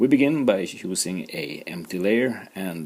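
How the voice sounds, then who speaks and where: With a Swedish accent, a man talks at a very slow pace using lively intonation. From Sweden. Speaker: art teacher. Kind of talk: tutorial. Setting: livestream.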